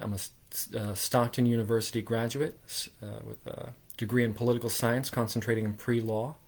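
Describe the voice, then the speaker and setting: A man in a New Jersey accent speaks at a medium pitch with fairly even intonation. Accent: New Jersey American. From southern New Jersey, US. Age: 20s. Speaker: political candidate. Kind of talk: campaign livestream talk. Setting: livestream. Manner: halting, many fillers.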